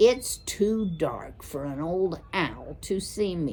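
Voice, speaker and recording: Using a put-on character voice, a woman speaks very slowly at a medium pitch. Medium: read story. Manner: slangy, cocky.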